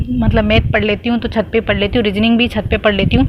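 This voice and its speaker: Amid noticeable background noise, a woman with a fairly high pitch talks at a moderate pace. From Rajasthan, Marwar region. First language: Marwari (speaking Hindi). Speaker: exam aspirant vlogger. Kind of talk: casual vlog talk. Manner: chatty, rambling.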